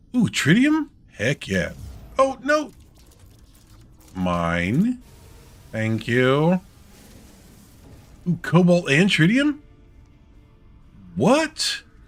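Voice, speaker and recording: Music plays in the background as a man speaks at a very slow pace. He leaves long, frequent pauses. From US South (Georgia). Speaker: streamer. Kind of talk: casual chat.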